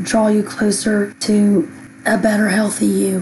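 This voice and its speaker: A woman speaks at a moderate pace in a monotone, flat intonation, with noticeable background noise. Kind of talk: devotional monologue.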